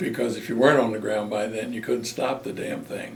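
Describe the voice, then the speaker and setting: A man with an American accent and a medium pitch talks at a fairly quick pace with fairly even intonation. Noticeable background noise and audible room echo fill the recording. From Maryland, US. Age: 80s+. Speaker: war veteran. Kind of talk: oral history interview.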